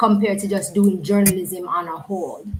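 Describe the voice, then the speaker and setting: This woman has a medium pitch. Her voice is somewhat breathy. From Jamaica. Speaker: live stream interviewer. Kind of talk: interview. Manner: halting.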